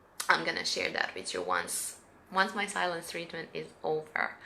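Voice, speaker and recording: Bright and sharp in tone, a woman's voice carries audible room echo. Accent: Serbian. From Serbia. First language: Serbian. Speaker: spiritual coach. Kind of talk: live stream guidance talk. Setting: live stream. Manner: halting, many fillers.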